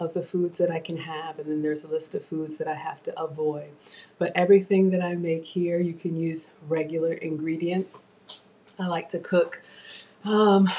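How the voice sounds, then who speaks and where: The speaker keeps a moderate pace with a monotone, flat intonation. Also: woman. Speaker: home cook streamer. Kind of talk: casual live stream chat. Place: kitchen. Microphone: webcam.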